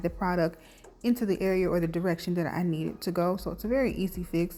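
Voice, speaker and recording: A woman is whispering. Her pace is very fast. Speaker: beauty vlogger. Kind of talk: tutorial voiceover. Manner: casual.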